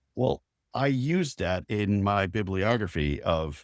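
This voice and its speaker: The speaker has an American accent and lively intonation. The recording is very clean and silent behind the voice, with a dry, close sound and no echo. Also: man. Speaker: high school classmate. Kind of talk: casual chat. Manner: halting.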